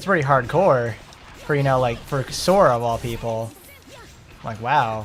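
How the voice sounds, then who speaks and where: Moderate pace with long, frequent pauses, an animated tone and ordinary pitch variation, in an American accent, with music in the background. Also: man, medium pitch for a man. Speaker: gaming streamer. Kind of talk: live gameplay commentary.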